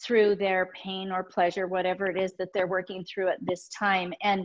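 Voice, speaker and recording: The background is quiet. A woman talks at a moderate pace. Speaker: guest. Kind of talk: webinar presentation. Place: home room. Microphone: webcam.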